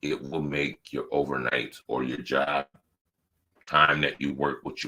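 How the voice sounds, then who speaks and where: A man's very deep, low voice with vocal fry and a bright, sharp tone, at a moderate pace. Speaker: podcast host. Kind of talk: casual monologue. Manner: repetitive, filler-heavy.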